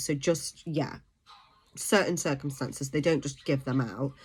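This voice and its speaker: A woman talks at a fairly quick pace in a British accent. The recording is very clean, with a silent background. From UK. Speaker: vlogger. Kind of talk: informational vlog. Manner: hesitant, many fillers.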